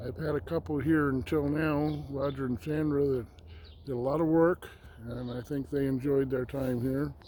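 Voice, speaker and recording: A man talks at a moderate pace with a fairly high pitch. His tone is dark and mellow, with ordinary pitch variation. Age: 60s. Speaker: homesteader and vlogger. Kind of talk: casual vlog talk to camera. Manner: halting, many fillers.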